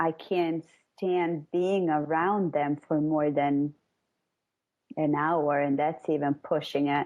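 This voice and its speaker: A woman speaks very slowly with a non-native accent, her very deep, low voice monotone and flat, her loudness very even, with long, frequent pauses. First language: not English. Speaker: caller. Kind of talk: personal conversation about childhood. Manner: halting.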